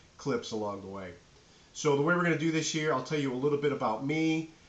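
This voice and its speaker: Audible room echo colors this recording of a man. He talks with ordinary pitch variation. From New England, Nashua, New Hampshire. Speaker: professor. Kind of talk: lecture. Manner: casual, filler-heavy.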